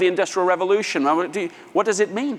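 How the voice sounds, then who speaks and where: A man's high-pitched voice at a very fast pace. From England, London. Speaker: author and business speaker. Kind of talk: conference keynote talk.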